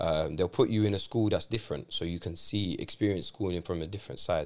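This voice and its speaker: A man speaks fairly quickly with a London accent, his pitch fairly low with ordinary variation. The recording is very clean, with a silent background. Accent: London English, multicultural London. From London, England, Moroccan family. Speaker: adventure trip organiser, former teacher. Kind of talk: casual chat. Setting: studio.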